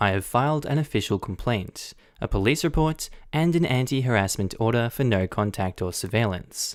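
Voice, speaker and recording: A man speaks with an Australian accent at a medium pitch. His pace is moderate and his loudness very even. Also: lively intonation, very clean recording, silent background. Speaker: Reddit story narrator. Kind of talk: Reddit post reading.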